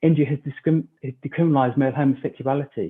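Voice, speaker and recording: This man's pitch sits fairly high. He talks at a fairly quick pace with fairly even intonation. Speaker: keynote speaker. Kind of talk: keynote talk. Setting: online forum video call.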